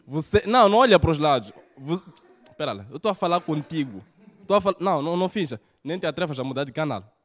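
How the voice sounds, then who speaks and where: A man speaks very fast in an animated tone, his pitch swinging very widely. The background is quiet. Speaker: stand-up comedian. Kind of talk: stand-up comedy. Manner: animated, punchy delivery with rhetorical jokes. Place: studio. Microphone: handheld.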